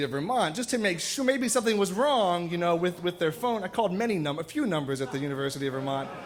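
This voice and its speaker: A man talks at a very fast pace in a high-pitched voice. His pitch swings very widely. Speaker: storyteller. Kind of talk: live storytelling performance. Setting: live stage with audience. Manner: casual, humorous.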